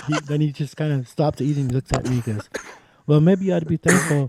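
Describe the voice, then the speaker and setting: In a dry, close sound with no echo, a man speaks very fast with a fairly high pitch and a dark, mellow tone. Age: 60s. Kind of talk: casual chat.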